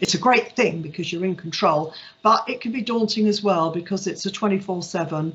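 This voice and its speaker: A woman speaks in a somewhat breathy voice. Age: 60s. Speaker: cattery owner. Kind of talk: careers talk. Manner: hesitant with frequent fillers.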